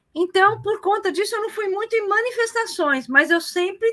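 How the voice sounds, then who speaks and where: A woman uses a raised, projected voice with a bright, sharp tone and lively intonation. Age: 60s. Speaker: retired teacher and political activist. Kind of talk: casual interview on live stream. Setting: live online broadcast. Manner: hesitant, many fillers.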